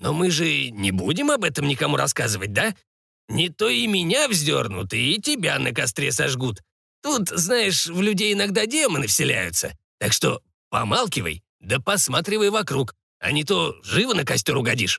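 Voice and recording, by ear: Put on as a character voice, this bright, sharp tone is creaky, raspy and slightly husky, with vocal fry and big pitch swings at a moderate pace. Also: man, fairly high pitch for a man.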